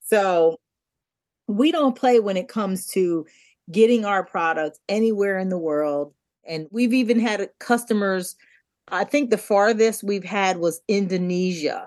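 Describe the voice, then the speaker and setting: A woman at medium pitch, fairly slow pace and ordinary pitch variation, over a quiet background. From US, Delaware. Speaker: TV producer and skincare entrepreneur. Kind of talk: interview conversation.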